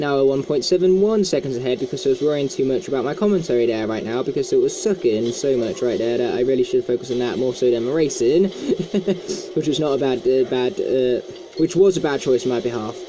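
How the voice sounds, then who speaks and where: A man's fairly high voice at a very fast pace, lively in intonation, over noticeable background noise. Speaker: gaming YouTuber. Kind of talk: let's play commentary. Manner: stuttering, stumbling over words today; casual, chatty.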